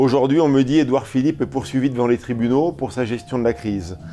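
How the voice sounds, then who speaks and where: With a normal speaking voice, a man at a medium pitch talks at a fairly quick pace with ordinary pitch variation. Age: 50s. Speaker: restaurateur, trade union leader. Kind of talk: heated debate. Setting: restaurant.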